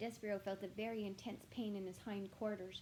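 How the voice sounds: The voice reads naturally. Its intonation holds fairly even.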